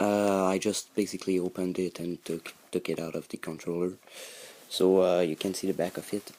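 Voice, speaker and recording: In a Quebec accent, a man speaks with a very deep, low pitch, a dark, mellow tone and fairly even intonation. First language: French. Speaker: hobbyist YouTuber. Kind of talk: tutorial. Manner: halting, many fillers.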